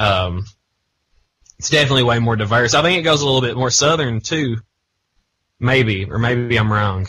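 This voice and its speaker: A man with an Eastern Kentucky accent, bright, sharp tone, medium pitch, ordinary pitch variation and long, frequent pauses. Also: moderate pace. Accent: Eastern Kentucky Appalachian. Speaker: radio and podcast host. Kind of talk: casual chat.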